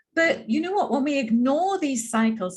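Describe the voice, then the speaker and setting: A woman's voice with a slight English accent and very wide pitch swings. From England, London. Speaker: Ayurveda practitioner. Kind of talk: workshop presentation.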